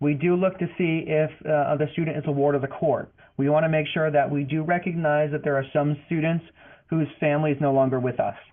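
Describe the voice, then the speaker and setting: A man with an American accent speaks in a monotone, flat intonation over noticeable background noise. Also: fairly high pitch for a man, fairly quick pace. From Boston, US. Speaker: financial aid advisor. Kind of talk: webinar presentation. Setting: online webinar. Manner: fast.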